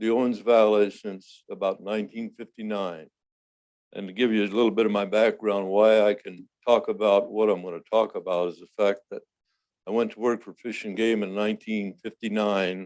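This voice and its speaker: Against a quiet background, a man with a fairly low pitch speaks at a moderate pace in a monotone, flat intonation, with big swings in loudness. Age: 80s+. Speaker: public commenter, retired wildlife worker. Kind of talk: public comment statement. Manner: halting.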